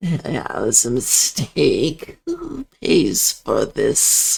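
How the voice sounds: This put-on character voice moves along at a very slow pace. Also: man.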